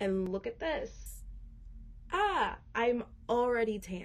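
With an American accent, a woman talks while noticeable noise sounds in the background. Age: 20s. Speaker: podcast guest. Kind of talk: personal testimony.

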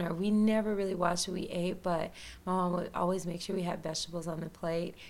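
A woman speaks with a Tennessee accent at a medium pitch. Her intonation is fairly even, and the room echo is audible. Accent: Southern US (Tennessee). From US South, rural west Tennessee. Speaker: holistic health coach and yoga teacher. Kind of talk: casual interview.

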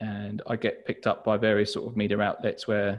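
A man speaks at a fairly quick pace with a southern English accent. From southern England, Hastings. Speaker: journal brand founder and designer. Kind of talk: interview.

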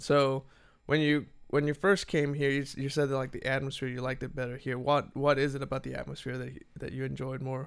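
A man talks at a fairly quick pace and a medium pitch. His intonation stays monotone and flat. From Mexico. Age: 20s. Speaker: podcast host at a motorcycle dealership. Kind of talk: casual chat.

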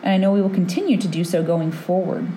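A woman speaks at a medium pitch. Noticeable background noise and audible room echo surround her voice. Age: 30s. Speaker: osteopathic physician and podcast host. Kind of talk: solo monologue podcast.

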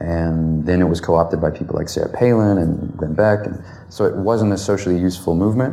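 With an American accent and a very deep, low pitch, a man talks at a fairly quick pace amid noticeable background noise and audible room echo. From US South. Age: 20s. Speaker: law student and firearms advocate. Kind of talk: interview.

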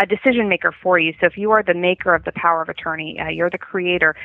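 A normal speaking voice from a woman with an American accent, medium in pitch, with ordinary pitch variation. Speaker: elder law attorney. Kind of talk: podcast interview.

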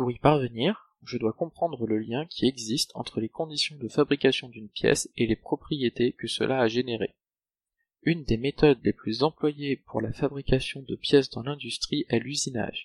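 In an ordinary speaking voice, a man talks at medium pitch and a moderate pace with ordinary pitch variation, the sound dry and close with no echo. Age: 20s. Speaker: PhD student in mechanical engineering. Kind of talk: scripted narration. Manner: formal.

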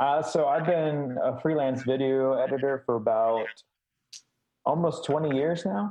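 In a normal speaking voice, a man with an American accent talks at a fairly slow pace and fairly high pitch. His loudness stays very even and his pitch varies in an ordinary way. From Chicago. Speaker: video editor. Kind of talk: casual interview chat.

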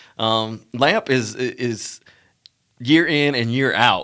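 With an Alabama accent, a man speaks at a medium pitch in a bright, sharp tone with ordinary pitch variation, in a very clean recording with a silent background. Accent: US Southern, Alabama. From Montgomery, Alabama. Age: 30s. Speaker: former co-host, professional. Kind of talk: casual interview chat.

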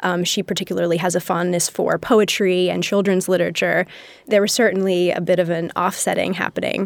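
A fairly quick, monotone, flat delivery with vocal fry and an American accent, on a very clean recording with a silent background. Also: woman, medium pitch for a woman. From Massachusetts, US. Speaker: designer and researcher. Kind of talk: interview. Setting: studio.

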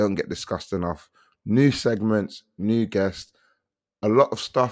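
A man's fairly low voice in a British accent, fairly slow with ordinary pitch variation, in a very clean recording with a silent background. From England. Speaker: podcast host. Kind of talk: casual chat. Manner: animated.

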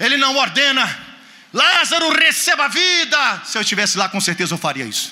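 A man's extremely high, animated, raised and projected voice, very wide pitch swings, moderate pace, audible room echo and noticeable background noise. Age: 50s. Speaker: guest preacher. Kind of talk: sermon.

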